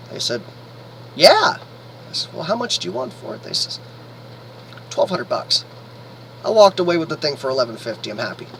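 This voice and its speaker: A man's speech swings widely in loudness and has long, frequent pauses, with noticeable background noise behind it. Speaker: vlogger living in an RV. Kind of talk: casual video blog. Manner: halting, many fillers.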